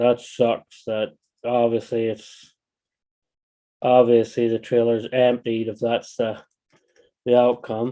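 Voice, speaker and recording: In a dark, mellow voice of medium pitch, a man speaks very slowly with monotone, flat intonation and long, frequent pauses. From Northern Ireland, County Down. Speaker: RC hobbyist livestreamer. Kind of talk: casual livestream chat while building. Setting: livestream at workbench. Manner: halting, repeats phrases.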